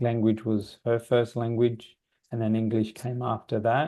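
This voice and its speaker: A man with an Australian accent speaks at a moderate pace and medium pitch, his tone dark and mellow. His intonation stays fairly even against a quiet background. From Australia, Sydney. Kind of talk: webinar Q&A. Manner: halting.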